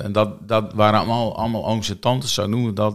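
A man talks in an ordinary speaking voice, fairly low in pitch and fairly quick in pace, with fairly even intonation. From Netherlands, Friesland. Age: 50s. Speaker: church prayer and mission coordinator. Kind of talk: casual interview. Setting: studio, filmed.

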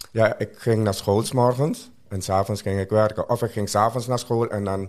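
A man speaks at a moderate pace with a fairly low pitch and fairly even intonation. The recording is very clean, with a silent background. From Suriname. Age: 60s. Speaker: interview guest sharing life story. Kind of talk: personal testimony.

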